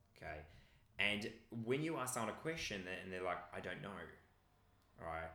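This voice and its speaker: With a bright, sharp tone and lively intonation, a man talks at a moderate pace amid audible room echo. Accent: Australian. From regional Victoria, Australia. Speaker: personal development coach. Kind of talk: interview conversation.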